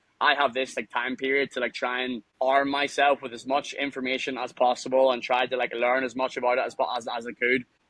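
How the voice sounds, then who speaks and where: Speaking with a Northern Irish accent, a man talks at a fairly quick pace with hardly any pauses, his medium-pitched voice monotone and flat. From Northern Ireland, Lisburn near Belfast. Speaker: mine worker and former nightclub promoter. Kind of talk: casual interview. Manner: fast, halting with repetitions.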